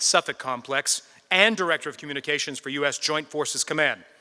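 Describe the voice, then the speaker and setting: This man talks very fast in an American accent, his tone bright and sharp. The sound is dry and close, with no echo. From Boston area, US. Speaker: TV presenter and emcee. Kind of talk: formal introduction speech.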